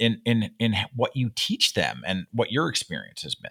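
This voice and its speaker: The sound is dry and close with no echo, and the voice has a bright, sharp tone and ordinary pitch variation. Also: man. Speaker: podcast host, company founder. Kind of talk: interview conversation. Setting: video call. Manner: halting, repeats words.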